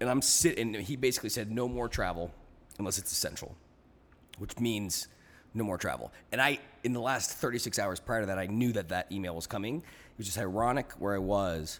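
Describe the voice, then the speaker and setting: A man talks at a fairly quick pace in a plain, everyday voice, fairly low in pitch with ordinary pitch variation. The recording is very clean, with a silent background. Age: 30s. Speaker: world traveler, podcast guest. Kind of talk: casual chat.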